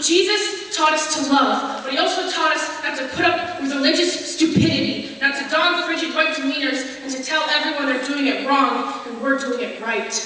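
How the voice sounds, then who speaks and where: Over noticeable background noise, a woman with a high pitch uses a raised, projected voice at a moderate pace with hardly any pauses. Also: ordinary pitch variation. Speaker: spoken word poet. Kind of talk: spoken word poetry performance.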